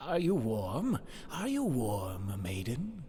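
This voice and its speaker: At a very slow pace, a put-on character voice is heard. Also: man, medium pitch for a man. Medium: read story. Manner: snapping, insistent questioning.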